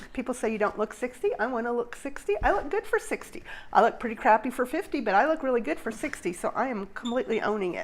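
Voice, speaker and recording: Over noticeable background noise, a woman talks very fast with hardly any pauses, her high voice making very wide pitch swings. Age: 60s. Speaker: nurse and craft podcast co-host. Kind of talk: casual chat.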